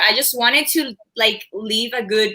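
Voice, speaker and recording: A woman's bright, sharp voice at fairly high pitch and a moderate pace. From Cuba, raised in Miami area from age nine. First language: Spanish. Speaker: former cheerleader and journalist. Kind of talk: casual chat.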